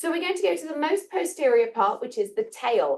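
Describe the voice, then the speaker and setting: A woman's voice with very wide pitch swings. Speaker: biology teacher. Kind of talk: classroom lecture with dissection demo.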